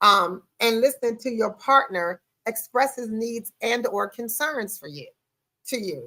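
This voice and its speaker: Speaking at a fairly slow pace, a woman with a fairly high pitch and a bright, sharp tone sounds animated, her loudness swinging widely while her pitch varies in an ordinary way. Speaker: podcast host. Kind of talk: podcast monologue on relationships.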